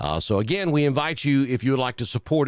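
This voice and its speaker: A man with a slight Southern US accent speaks at a very fast pace. His pitch is medium. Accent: light southern. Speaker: weather forecaster. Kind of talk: live weather broadcast. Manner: casual, with many fillers.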